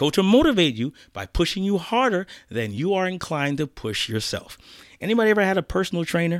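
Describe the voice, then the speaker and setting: The delivery is very fast. The recording is very clean, with a silent background. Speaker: podcast host and speaking coach. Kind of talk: pep talk. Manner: motivational, direct, urging the listener; repetitive, rhythmic, building.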